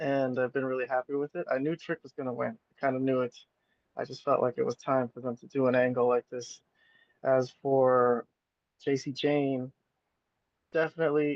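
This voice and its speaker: A man talks quietly at a moderate pace in a medium pitch, with monotone, flat intonation. His loudness swings widely, and he takes long, frequent pauses. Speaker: wrestling fan streamer. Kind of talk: casual live stream commentary. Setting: at work, live streaming from phone. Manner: quiet, low volume. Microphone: cell phone.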